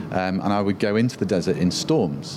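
A man with a British accent speaks at a fairly quick pace with ordinary pitch variation. Noticeable background noise can be heard. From UK. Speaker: photographer. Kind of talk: interview.

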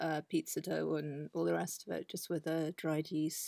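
A woman with a southern English accent speaks at a moderate pace, her voice dry and close with no echo on a very clean recording over a silent background. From southern England. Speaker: artist. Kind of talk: casual interview. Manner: halting.

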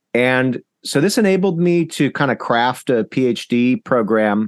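The speaker has an ordinary speaking voice with an American accent. The sound is dry and close with no echo against a quiet background. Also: man. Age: 40s. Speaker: historian. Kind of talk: interview.

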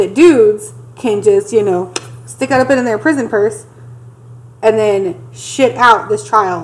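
Speaking at a fairly slow pace with long, frequent pauses, a woman at a medium pitch makes very wide pitch swings against noticeable background noise. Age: 30s. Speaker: podcast co-host. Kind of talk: casual chat.

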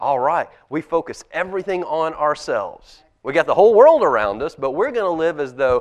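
A man's high-pitched voice with a warm tone. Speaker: pastor. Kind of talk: children's sermon. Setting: church. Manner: warm, conversational with kids.

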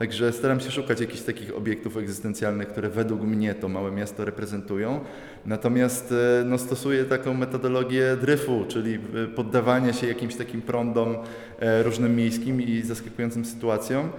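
Over noticeable background noise, a man talks at a fairly quick pace in a medium pitch with monotone, flat intonation. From Upper Silesia, Poland (Radzionków). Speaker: visual artist. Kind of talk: interview at art exhibition. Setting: gallery exhibition.

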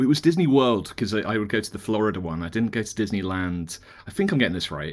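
Over a very clean, silent background, a man with a British accent talks very fast in a fairly low pitch and lively intonation. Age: 40s. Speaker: magazine editor and author. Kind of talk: casual chat.

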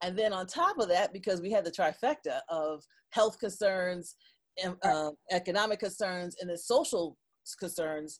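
At a moderate pace, a woman with a plain, everyday voice speaks at medium pitch with ordinary pitch variation. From Detroit, Michigan. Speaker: digital marketing consultant. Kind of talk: interview.

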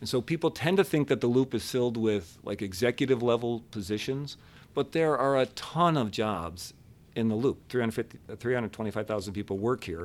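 At a fairly quick pace, a man with an American accent speaks in an ordinary speaking voice at a medium pitch with lively intonation, in a very clean recording with a silent background. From Buffalo, New York. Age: 50s. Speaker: downtown business district leader. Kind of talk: interview.

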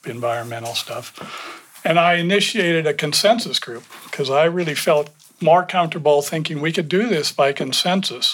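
With noticeable background noise behind him, a man speaks at a moderate pace and ordinary pitch variation. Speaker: panelist. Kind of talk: panel discussion.

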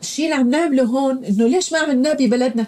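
Her voice is somewhat breathy, and this woman has a dark, mellow tone. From Syria. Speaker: refugee, former housewife. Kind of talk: interview.

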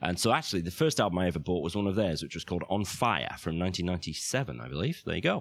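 A man with a very deep, low voice and vocal fry speaks very fast. He uses ordinary pitch variation and hardly any pauses. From northern England. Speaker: financial planner; podcaster. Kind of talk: interview.

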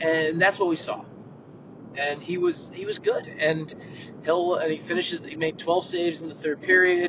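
Over noticeable background noise, a man speaks in a high voice. His intonation is a flat monotone. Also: moderate pace. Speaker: hockey writer, co-host. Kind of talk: casual sports chat podcast.

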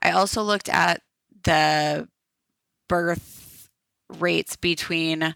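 On a very clean recording with a silent background and a dry, close sound with no echo, a woman with an American accent speaks in a fairly low pitch with a bright, sharp tone. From Minnesota, Minneapolis. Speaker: data analytics graduate. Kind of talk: interview.

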